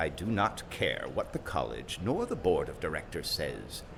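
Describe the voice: Using a put-on character voice, a man speaks at a moderate pace in an extremely low pitch with vocal fry and very wide pitch swings, while clear noise sounds in the background.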